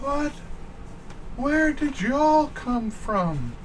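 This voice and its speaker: A man uses a put-on character voice at an extremely high pitch. Background noise is clearly audible. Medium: actual play. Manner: curt, cold.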